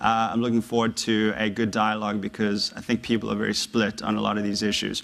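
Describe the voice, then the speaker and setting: Speaking at a very fast pace, a man talks with an American accent. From South Africa, Johannesburg. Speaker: former investment banker, author. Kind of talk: public talk to university audience. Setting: lecture hall with audience. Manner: hesitant, many fillers.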